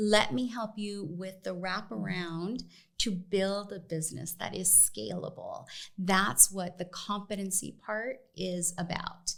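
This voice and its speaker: A woman with a Spanish accent at a medium pitch, speaking at a very slow pace with ordinary pitch variation. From US West, East Los Angeles. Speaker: business association executive. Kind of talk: podcast interview.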